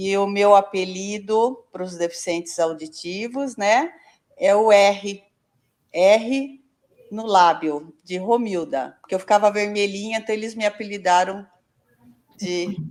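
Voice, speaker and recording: A woman speaks at a very slow pace, with long, frequent pauses. Her pitch is medium and its variation is ordinary. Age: 60s. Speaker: retired physical education teacher. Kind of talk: interview.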